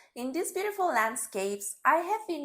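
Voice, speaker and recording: This woman talks at a moderate pace with a Spanish accent. Her pitch swings very widely. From Bolivia, Santa Cruz. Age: 30s. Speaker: storyteller. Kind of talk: scripted narration.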